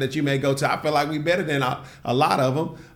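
With audible room echo around him, a man with a fairly high pitch speaks in a monotone, flat intonation. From US South, Nashville, Tennessee. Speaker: entrepreneur and tech bootcamp co-founder. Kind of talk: casual interview conversation.

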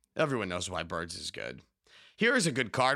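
Bright and sharp in tone, a man talks at a fairly quick pace with very wide pitch swings. The recording is very clean over a silent background. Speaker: podcast host. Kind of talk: casual chat.

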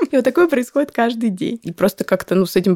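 A woman's voice, dry and close with no echo. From Moscow, Russia. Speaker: psychologist and startup co-founder. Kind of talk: interview.

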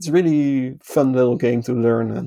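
A man with a Dutch accent, in a dry, close sound with no echo. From Netherlands. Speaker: podcast guest. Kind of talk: casual chat.

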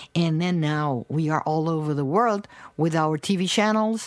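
Lively in intonation, a woman with a Portuguese accent and a fairly low pitch speaks at a fairly slow pace on a very clean recording with a silent background. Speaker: researcher. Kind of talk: interview. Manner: animated.

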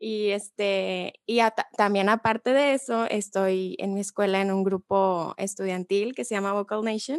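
A plain, everyday voice from a woman, medium in pitch, with fairly even intonation, a fairly slow pace and a dry, close sound with no echo. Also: quiet background. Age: 20s. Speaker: communications student. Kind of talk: casual chat.

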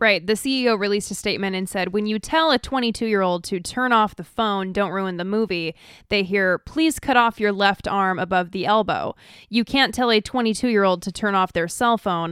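In a very clean recording with a silent background, a woman speaks at a fairly quick pace and medium pitch with ordinary pitch variation, the sound dry and close with no echo. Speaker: podcast co-host. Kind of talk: casual chat; reading news aloud. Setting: studio. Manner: talks like a Valley girl.

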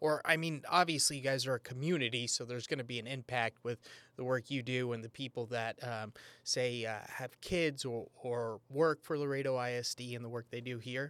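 A man with a plain, everyday voice in an American accent, medium pitch, fairly even intonation and moderate pace, on a very clean recording with a silent background and a dry, close sound with no echo. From San Antonio, Texas. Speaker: podcast host. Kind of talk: interview.

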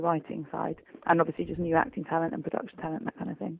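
A woman with an English accent. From England. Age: 20s. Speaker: voice actor and theater company founder. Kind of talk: interview.

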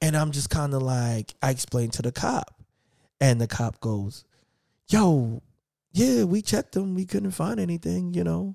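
Over a very clean recording with a silent background and a dry, close sound with no echo, a man with an American accent speaks at medium pitch and a fairly slow pace with very wide pitch swings. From New York. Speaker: podcast host. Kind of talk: casual interview chat.

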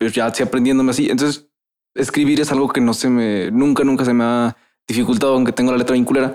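Talking at a very fast pace, a man keeps a monotone, flat intonation and very even loudness throughout. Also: medium pitch for a man. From Veracruz, Mexico. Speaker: podcast host. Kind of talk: casual chat. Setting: studio. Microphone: echo in the room.

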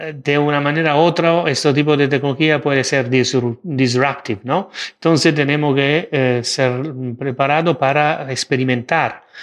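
With an Italian accent, a man talks at a fairly slow pace in a fairly high voice, his intonation fairly even and his loudness very even. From Italy. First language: Italian (speaking Spanish). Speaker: AI and digital governance expert. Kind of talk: interview. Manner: halting, many fillers and repetitions.

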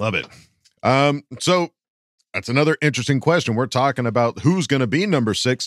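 In a plain, everyday voice, a man talks fairly quickly at a medium pitch with lively intonation, the sound dry and close with no echo. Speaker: podcast co-host. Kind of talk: casual chat.

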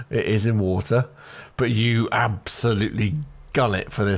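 Fairly even intonation in a natural reading voice

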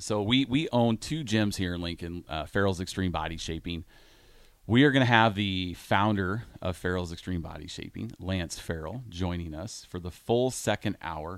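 A man with a Midwestern American accent speaks at a moderate pace in a very deep, low voice with ordinary pitch variation, on a very clean recording with a silent background. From Iowa. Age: 40s. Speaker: radio host, gym owner. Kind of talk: casual radio chat.

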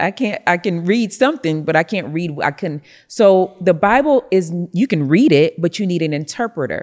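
A woman with an American accent and a normal speaking voice talks at a moderate pace in a fairly low pitch, with lively intonation. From Rochester, New York, US. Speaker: prophetess and business CEO. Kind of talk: interview, faith and business talk.

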